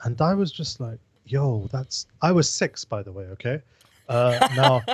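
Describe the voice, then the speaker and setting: On a very clean recording with a silent background, a man with a London accent speaks at a fairly slow pace, somewhat breathy, with lively intonation and big swings in loudness, the sound dry and close with no echo. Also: medium pitch for a man. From London, England. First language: Pashto. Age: 20s. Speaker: political podcast co-host. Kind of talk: casual chat.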